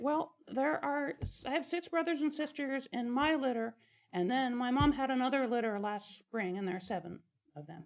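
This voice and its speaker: A put-on character voice comes through at a high pitch and a moderate pace. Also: female-sounding voice. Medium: stage play. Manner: hesitant, halting.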